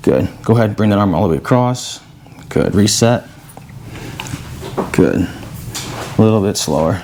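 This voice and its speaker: A man speaks in a calm tone at a fairly low pitch and moderate pace, with ordinary pitch variation. Long, frequent pauses break his speech over noticeable background noise. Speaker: chiropractor. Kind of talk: casual talk to camera. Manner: calm, instructional.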